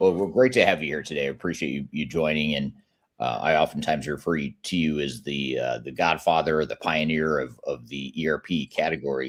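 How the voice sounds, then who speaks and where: This man's pitch is very deep and low, with vocal fry. Its variation is ordinary. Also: fairly quick pace. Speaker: podcast host. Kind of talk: interview. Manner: fast.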